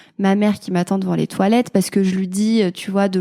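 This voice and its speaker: A woman speaks at a fairly quick pace in a medium pitch, her tone dark and mellow and her intonation monotone and flat. The sound is dry and close with no echo, on a very clean recording with a silent background. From France, Clermont-Ferrand (Auvergne). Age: 20s. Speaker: mother sharing her motherhood story. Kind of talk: testimony interview. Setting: podcast interview. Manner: hesitant, many fillers.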